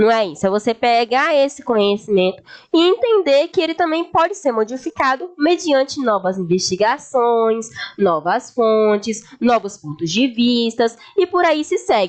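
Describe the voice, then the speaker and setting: High-pitched woman with very wide pitch swings and very even loudness, at a fairly slow pace. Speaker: history teacher. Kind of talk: lecture.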